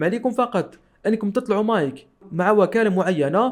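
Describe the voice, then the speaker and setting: With an Algerian accent, a man talks at a moderate pace in a high pitch. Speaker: tech tutorial youtuber. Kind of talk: tutorial.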